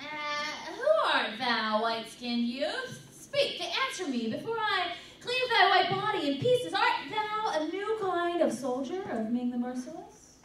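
A put-on character voice at an extremely high pitch swings very widely in pitch at a moderate pace. Slight echo and clear background noise are present. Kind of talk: old-time radio script read.

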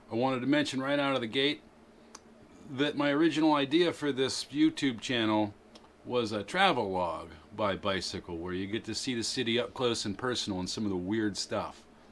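With lively intonation and a medium pitch, a man talks at a fairly quick pace over light background noise. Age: middle-aged. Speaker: bicycle vlogger. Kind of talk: casual talk to camera. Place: garage. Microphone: phone near.

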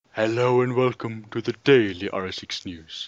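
A man puts on a character voice at a medium pitch and a moderate pace. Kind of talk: formal broadcast.

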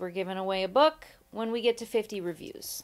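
A normal speaking voice from a woman with an American accent, medium pitch, ordinary pitch variation, and a moderate pace. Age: 30s. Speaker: podcast co-host. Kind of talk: casual chat.

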